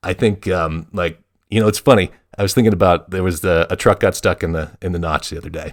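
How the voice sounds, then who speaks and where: With a Vermont accent, a man speaks at a very fast pace in a very deep, low pitch and fairly even intonation, on a very clean recording with a silent background. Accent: Vermont accent, dropped T's. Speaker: podcast co-host. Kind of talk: casual chat. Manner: halting, many restarts.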